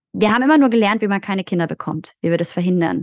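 In an ordinary speaking voice of medium pitch, a woman talks with ordinary pitch variation and a dry, close sound with no echo. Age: 30s. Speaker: doula. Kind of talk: casual chat.

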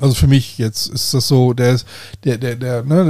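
The man talks at a fairly quick pace. His delivery moves briskly. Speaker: podcast host. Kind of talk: casual chat. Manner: loud; hesitant, many fillers.

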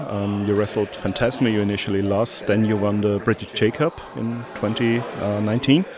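Noticeable background noise accompanies a man whose voice sits at a fairly low pitch. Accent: German. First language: German. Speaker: wrestling interviewer. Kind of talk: interview. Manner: hesitant, many fillers.

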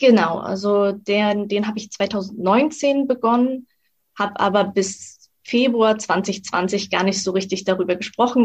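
Somewhat breathy delivery comes with fairly even intonation. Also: woman. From Mecklenburg-Western Pomerania, Germany. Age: 20s. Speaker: freelance copywriter and blogger. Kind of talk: interview.

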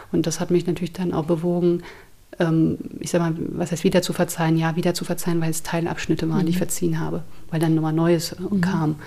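A woman at a very fast pace, fairly low in pitch, with monotone, flat intonation and noticeable background noise. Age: 30s. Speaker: therapist, abuse survivor. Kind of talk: interview testimony.

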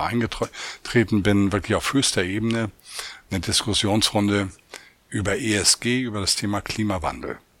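Noticeable background noise accompanies a man whose voice sits at a fairly low pitch. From Hamburg, northern Germany. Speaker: chief economist. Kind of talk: interview.

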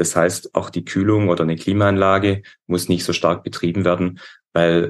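Over a quiet background, a man talks at a moderate pace. His pitch is very deep and low, with fairly even intonation. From Upper Swabia, southern Germany. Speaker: metal and glass construction business owner. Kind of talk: interview.

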